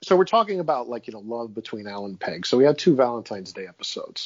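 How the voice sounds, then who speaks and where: This man has a normal speaking voice, medium in pitch, with an American accent. His intonation is lively. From Queens, New York. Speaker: Patreon fan, podcast roundtable guest. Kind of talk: casual chat about a TV show.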